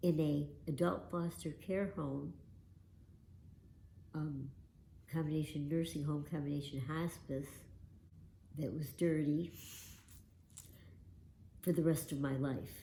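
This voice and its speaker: In a very deep, low voice that is somewhat breathy with a dark, mellow tone, a woman speaks very slowly with fairly even intonation and long, frequent pauses. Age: old. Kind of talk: personal testimony.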